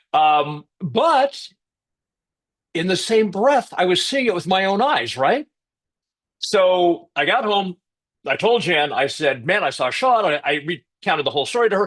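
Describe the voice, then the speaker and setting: A man talks with a high pitch and very wide pitch swings. His delivery is fairly slow, with long, frequent pauses. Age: 60s. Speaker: author on health and physiology. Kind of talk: interview. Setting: podcast interview.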